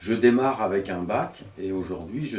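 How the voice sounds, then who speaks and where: A man with a fairly low pitch speaks at a fairly slow pace with ordinary pitch variation, amid audible room echo and noticeable background noise. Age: 50s. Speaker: association director. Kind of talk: interview testimony.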